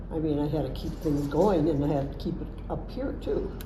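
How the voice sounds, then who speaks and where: Noticeable background noise and audible room echo around a woman's speaking voice. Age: 90s. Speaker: retirement home resident. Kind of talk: interview answers. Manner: halting.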